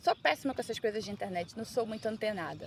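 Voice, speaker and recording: A woman speaks at a fairly high pitch. Vocal fry runs through her voice. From Brazil, Manaus (Amazonas). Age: 30s. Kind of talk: casual personal vlog. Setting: outdoors on a beach.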